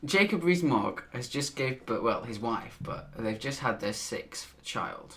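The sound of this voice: A man's fairly bright voice with lively intonation. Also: medium pitch for a man, fairly slow pace.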